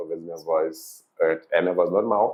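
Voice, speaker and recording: A man talks with fairly even intonation. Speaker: psychologist and podcast host. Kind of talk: casual podcast conversation.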